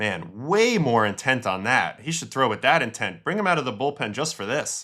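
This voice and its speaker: An animated man with an American accent speaks at a moderate pace and a medium pitch, his bright, sharp tone making very wide pitch swings. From New York City. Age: 40s. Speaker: former pro baseball pitcher, streamer. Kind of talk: livestream game breakdown. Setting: livestream.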